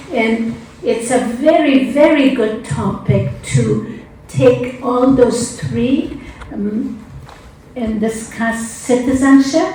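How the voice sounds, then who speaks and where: A woman with an Afghan accent and a high pitch speaks at a very slow pace with ordinary pitch variation, amid noticeable background noise and audible room echo. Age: 70s. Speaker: conference panelist. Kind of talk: panel discussion. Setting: conference hall.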